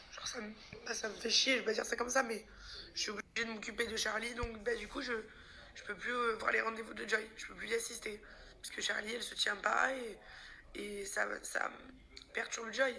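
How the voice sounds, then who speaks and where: Over noticeable background noise and audible room echo, a woman talks at a fairly quick pace and fairly high pitch, with fairly even intonation, big swings in loudness and long, frequent pauses. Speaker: vlogger. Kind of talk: personal vlog. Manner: halting.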